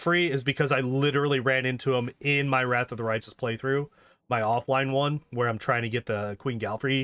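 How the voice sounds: Intonation remains fairly even. The voice reads in a natural way.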